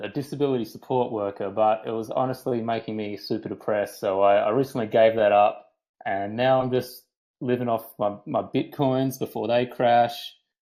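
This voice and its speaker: With a Western Australian accent, a man speaks. His pace is fairly quick. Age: 30s. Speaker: podcast guest. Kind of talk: casual chat. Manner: halting, repeats words.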